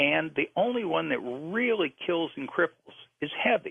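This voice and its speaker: A man speaks with an American accent at a fairly high pitch. His pitch swings very widely. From US South, New Orleans. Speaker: author. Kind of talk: radio interview.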